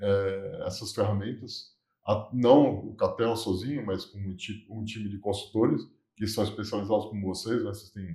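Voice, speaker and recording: Dark, mellow, somewhat breathy male voice, fairly low in pitch, at a moderate pace with fairly even intonation and big swings in loudness. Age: 60s. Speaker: business consultant. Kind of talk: interview.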